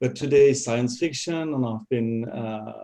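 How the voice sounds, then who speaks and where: With a French accent, a man talks at a medium pitch in a dark, mellow tone. His pace is fairly slow and his intonation fairly even. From France. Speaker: sci-fi author. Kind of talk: panel discussion.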